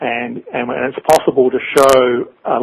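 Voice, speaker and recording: A man with a New Zealand accent, medium in pitch, in a monotone with flat intonation. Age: 60s. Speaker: author. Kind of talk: interview. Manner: halting.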